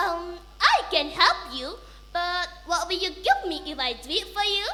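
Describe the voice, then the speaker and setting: A woman's put-on character voice at an extremely high pitch, moderate pace, with clear background noise. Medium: read story.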